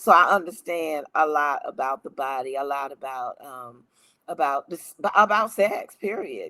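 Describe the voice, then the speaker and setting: No echo touches the dry, close sound. A bright, sharp tone comes through. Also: woman, big swings in loudness. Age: 70s. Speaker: life coach and minister. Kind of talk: live stream talk. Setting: Facebook live stream.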